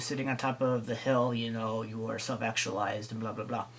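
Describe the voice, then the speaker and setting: Speech comes at a very fast pace while noticeable background noise persists. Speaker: staff trainer on personality types. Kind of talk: recorded training talk. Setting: recorded video.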